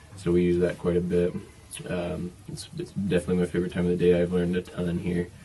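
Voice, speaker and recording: In an American accent, a man speaks at a very deep, low pitch with a somewhat breathy, dark, mellow tone and monotone, flat intonation. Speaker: missionary. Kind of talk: casual video message. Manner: hesitant with many fillers.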